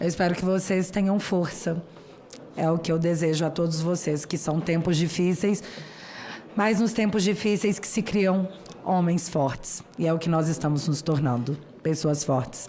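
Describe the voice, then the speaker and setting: A woman with a plain, everyday voice speaks at a fairly low pitch and a moderate pace, with ordinary pitch variation and very even loudness. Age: 30s. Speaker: political YouTuber. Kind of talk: formal speech to a parliamentary committee. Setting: senate committee hearing.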